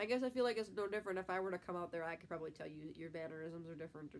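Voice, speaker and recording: A woman with a Midwestern accent talks at a very fast pace. Her voice is fairly low. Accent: Midwest. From US Midwest. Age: 20s. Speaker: type one diabetic YouTuber, nursing student. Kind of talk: casual live stream chat.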